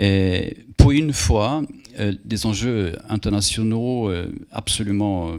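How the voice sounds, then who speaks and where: At a very slow pace, a man with a Swedish accent speaks in a fairly low voice with ordinary pitch variation. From Sweden. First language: Swedish (speaking French). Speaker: moderator. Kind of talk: public talk Q&A.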